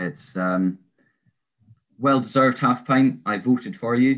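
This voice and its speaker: A medium-pitched man with an Aberdeen accent, fairly slow, with ordinary pitch variation over a quiet background. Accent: Scottish, Aberdeen area. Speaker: interviewer, listener volunteer. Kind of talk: casual interview.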